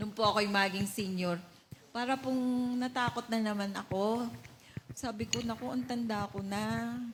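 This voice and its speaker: Somewhat breathy, the woman's voice sits at a fairly high pitch with ordinary variation. She speaks at a moderate pace. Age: 60s. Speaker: church member giving testimony. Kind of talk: testimony. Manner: halting.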